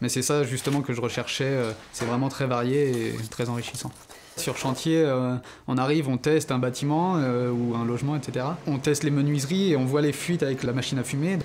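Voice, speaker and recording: A man's voice sits at medium pitch with fairly even intonation. He moves along at a fairly quick pace. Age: 20s. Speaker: apprentice student. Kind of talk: interview testimony. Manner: hesitant, many fillers.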